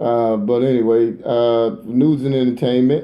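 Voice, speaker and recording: The speaker is a man with a medium-pitched voice. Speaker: talk show host. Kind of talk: casual chat. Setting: live stream. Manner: loud.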